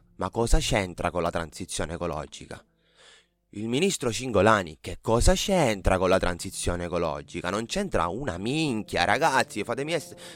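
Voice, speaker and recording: At a moderate pace, a man with a fairly low pitch makes very wide pitch swings in a very clean recording with a silent background. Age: 30s. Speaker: podcast host. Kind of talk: solo podcast monologue. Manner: halting, many fillers.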